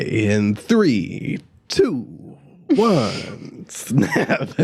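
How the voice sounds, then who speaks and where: A man performs a put-on character voice at a medium pitch. His pitch swings very widely. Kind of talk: radio voice.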